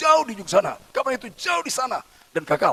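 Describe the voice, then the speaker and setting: Talking at a very fast pace, a man swings his pitch very widely. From Batak, North Sumatra, Indonesia. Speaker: pastor. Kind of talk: sermon. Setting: church service, also streamed on Zoom. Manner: loud.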